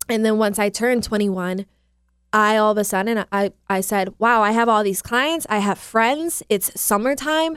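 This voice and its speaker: A woman with an unremarkable speaking voice talks at a moderate pace, her fairly high pitch showing ordinary variation and her loudness very even. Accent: American. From US Midwest, Milwaukee area. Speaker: fitness trainer. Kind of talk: casual interview.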